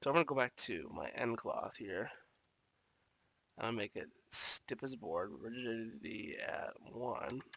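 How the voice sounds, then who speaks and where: Pausing long and often, a man speaks at a fairly slow pace and medium pitch, his bright, sharp tone carrying vocal fry and lively intonation. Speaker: 3D animation tutorial creator. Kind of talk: tutorial. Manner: casual.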